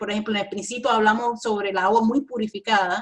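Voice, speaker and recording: A woman with an English accent. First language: English (speaking Spanish). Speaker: environmental engineering professor. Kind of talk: interview. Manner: halting, many fillers and self-corrections.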